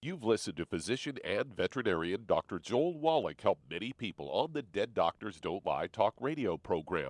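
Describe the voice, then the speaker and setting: A man talks fairly quickly at a medium pitch, with very wide pitch swings, vocal fry and hardly any pauses. The recording is very clean, with a silent background and a dry, close sound with no echo. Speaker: radio network announcer. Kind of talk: radio promo announcement.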